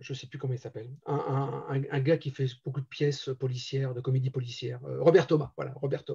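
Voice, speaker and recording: His pace is fairly quick. The man barely pauses at all. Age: 60s. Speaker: amateur theatre director and actor. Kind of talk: interview. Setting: live-streamed show. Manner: hesitant, many fillers.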